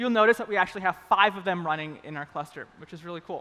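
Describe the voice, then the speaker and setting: A man's raised, projected voice at a fairly quick pace, bright and sharp in tone. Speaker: developer advocate giving a conference talk. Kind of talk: live coding demo talk. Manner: fast; casual, upbeat.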